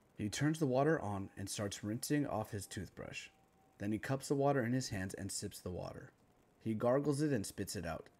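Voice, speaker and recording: This man has an unremarkable speaking voice of medium pitch. He talks at a moderate pace with lively intonation. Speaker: creative writing teacher reading own story. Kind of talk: dramatic narration of a screenplay-style story, reading aloud with character lines. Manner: solemn, grave, shifting into different character voices for dialogue.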